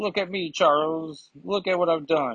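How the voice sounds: At a moderate pace, the speaker uses a put-on character voice pitched in the middle range.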